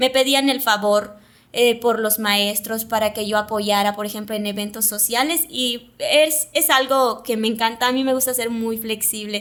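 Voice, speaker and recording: A woman with a fairly high pitch and fairly even intonation. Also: fairly slow pace. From Yucatán, Mexico (Mayapán). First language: Yucatec Maya (speaking Spanish). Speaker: TV presenter and communicator. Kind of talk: interview conversation.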